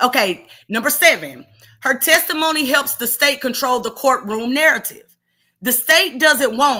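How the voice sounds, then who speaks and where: A woman uses a raised, projected voice at a high pitch with a bright, sharp tone. She speaks at a fairly slow pace with lively intonation. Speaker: true crime commentator. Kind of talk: reading prepared notes in commentary. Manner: passionate, animated; loud.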